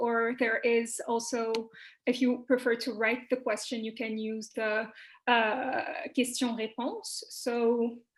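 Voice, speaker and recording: A woman's high voice in a Quebec accent, at a very slow pace. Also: very clean recording, silent background. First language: French. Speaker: panel moderator. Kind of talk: moderating panel Q&A. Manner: hesitant, many fillers.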